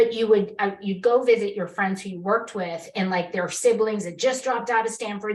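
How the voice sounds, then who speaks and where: With an American accent, a woman speaks in a plain, everyday voice at medium pitch with ordinary pitch variation. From Massachusetts, New England. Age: 50s. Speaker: marketing executive. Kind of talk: interview conversation.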